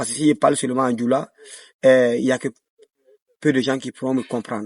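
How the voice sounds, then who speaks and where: A man speaks at medium pitch with fairly even intonation. The sound is dry and close with no echo, and the background is quiet. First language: Dioula (speaking French). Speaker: dancer and choreographer. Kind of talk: interview. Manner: hesitant, many fillers.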